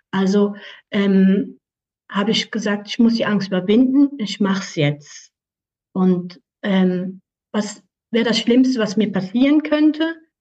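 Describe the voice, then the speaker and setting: Speaking very slowly with long, frequent pauses, a woman has a somewhat breathy voice, a dark, mellow tone and lively intonation. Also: medium pitch for a woman. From Switzerland, canton Aargau. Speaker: animal communicator. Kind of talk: interview.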